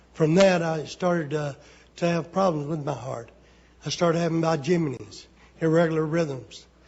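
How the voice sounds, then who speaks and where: An Alabama accent at a moderate pace, with fairly even intonation. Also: man. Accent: Southern US (Alabama). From Alabama, US South. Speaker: member of the public giving testimony. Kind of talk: public testimony. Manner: halting.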